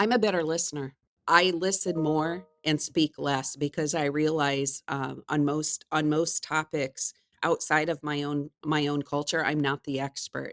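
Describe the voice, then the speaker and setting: With an American accent and fairly even intonation, the voice sounds dry and close with no echo over music in the background. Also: woman, very deep, low pitch for a woman. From United States. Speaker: HR executive. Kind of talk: interview.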